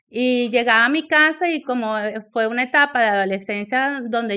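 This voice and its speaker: With a Venezuelan accent, a woman speaks at a moderate pace in a high, bright and sharp voice with ordinary pitch variation against a quiet background. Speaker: AA member sharing story. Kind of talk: testimony. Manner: hesitant, many fillers.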